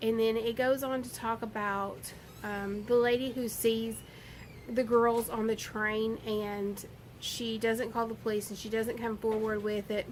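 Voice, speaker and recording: Delivered at a fairly slow pace in a Southern US accent, the speech has a monotone, flat intonation. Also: woman, fairly high pitch for a woman. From US South. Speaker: book vlogger. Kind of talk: casual book review monologue. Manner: rambling with hesitations.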